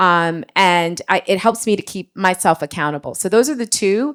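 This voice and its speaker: In a normal speaking voice, the speaker goes at a moderate pace with ordinary pitch variation, recorded very cleanly, dry and close with no echo and a silent background. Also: woman. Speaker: marketing leader. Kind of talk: panel discussion.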